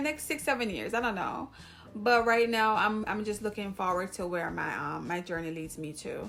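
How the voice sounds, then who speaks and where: Speaking at a moderate pace, a woman with a Jamaican accent uses lively intonation. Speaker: YouTuber, hair vlogger. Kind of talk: casual vlog talk to camera.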